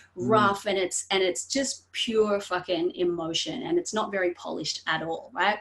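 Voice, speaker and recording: The speaker uses ordinary pitch variation with hardly any pauses. Noticeable background noise runs underneath. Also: woman, medium pitch for a woman. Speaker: artist. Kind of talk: podcast conversation. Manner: fast; animated.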